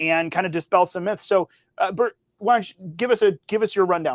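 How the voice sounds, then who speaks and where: Loud and fairly high-pitched, a man speaks with fairly even intonation. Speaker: political podcast co-host. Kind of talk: casual political discussion.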